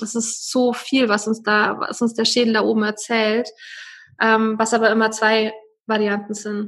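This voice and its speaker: A woman speaks in a fairly high pitch. Her intonation is monotone and flat. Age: 30s. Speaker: wellbeing coach and wedding photographer. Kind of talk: personal testimony in interview.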